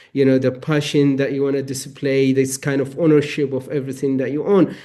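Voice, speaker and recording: A man talks with a non-native accent and a fairly high pitch. His tone is dark and mellow. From Eritrea. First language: not English. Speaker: novelist. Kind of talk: panel discussion.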